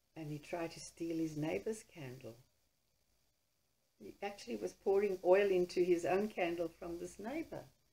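A woman speaks with a dark, mellow tone at a fairly low pitch, using lively intonation and big swings in loudness. Her pace is moderate, broken by long, frequent pauses. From Poland. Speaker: writer, storyteller, holocaust survivor. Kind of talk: interview answer.

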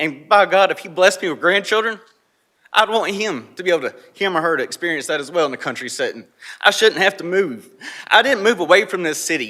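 A raised, projected voice in a North Carolina accent, bright and sharp in tone, at a very fast pace with lively intonation and big swings in loudness. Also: man, high pitch for a man. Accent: Southern US (North Carolina). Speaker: local resident speaking at public hearing. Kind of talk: public comment. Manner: emotional, impassioned.

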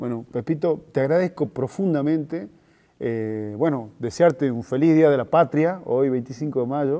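A man talks at a fairly slow pace in a fairly high pitch, his tone dark and mellow, with ordinary pitch variation against a quiet background. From Argentina. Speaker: interviewer. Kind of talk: interview. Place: hall. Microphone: lapel.

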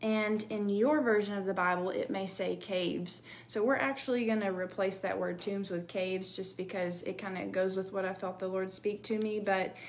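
Hardly pausing, a woman speaks at a moderate pace with fairly even intonation over light background noise. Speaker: bible teacher. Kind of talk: devotional teaching. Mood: earnest, emotional. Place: home room. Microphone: phone near.

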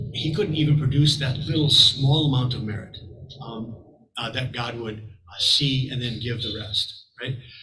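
Light background noise and audible room echo around a man talking at a fairly slow pace. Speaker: teacher. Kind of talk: lecture. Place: home room.

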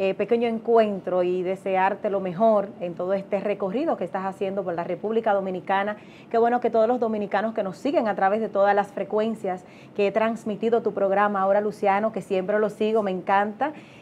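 A woman speaks at a fairly quick pace with fairly even intonation. There is light background noise. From Dominican Republic. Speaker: TV co-host; co-host or guest. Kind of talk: interview. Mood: warm, pleased. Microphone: lapel.

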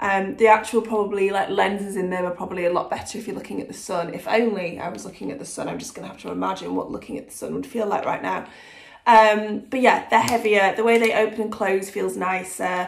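A woman with an English accent speaks at a very fast pace and a medium pitch, with vocal fry. Her intonation is fairly even, while her loudness swings widely. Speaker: fashion and lifestyle vlogger. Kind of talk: casual vlog talk to camera. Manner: hesitant, many ums.

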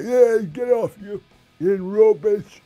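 This is a put-on character voice with a raspy quality. Its pitch sits fairly high. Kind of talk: interview answer. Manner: heckling, rude.

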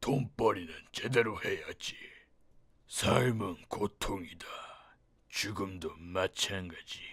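Using a put-on character voice, a man speaks raspy and fairly low at a fairly slow pace, with long, frequent pauses.

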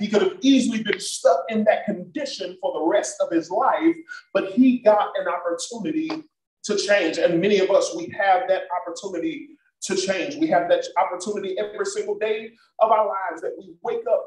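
In an animated tone, a man with a high voice talks at a moderate pace, with audible room echo and light background noise. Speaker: pastor. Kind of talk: sermon and prayer at a church Bible study, preacher in full flow, call-and-response. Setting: church with a congregation, also streamed online. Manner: animated, fervent, rhythmic preaching with exhortations to the congregation. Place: church. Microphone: video call.

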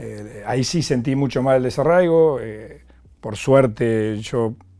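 Dark, mellow tone from a male speaker in a quiet background. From Argentina, Mar del Plata; Argentina. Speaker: former footballer; guest. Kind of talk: interview. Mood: calm, reflective storytelling. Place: studio. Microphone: lapel.

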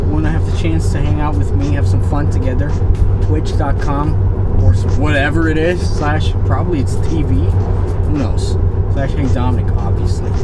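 Music playing behind a man's voice, delivered at a moderate pace. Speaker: social media vlogger. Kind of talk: casual vlog chat. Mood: playful, joking. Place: car. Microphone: camera far.

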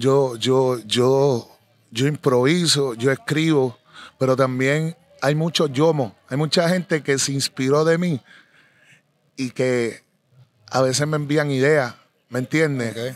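Dry sound with no echo carries a man's fairly high pitch at a very slow pace, with fairly even intonation and long, frequent pauses. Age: 40s. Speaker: reggaeton artist; interviewee. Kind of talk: interview. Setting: live event venue. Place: open country. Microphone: handheld.

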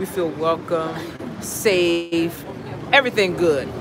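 A woman with an American accent, fairly low pitch and ordinary pitch variation, in a dry sound with no echo over noticeable background noise. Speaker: travel vlogger. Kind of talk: casual chat. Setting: restaurant meet and greet, live. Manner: animated. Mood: warm, upbeat. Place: cafe. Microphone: phone near.

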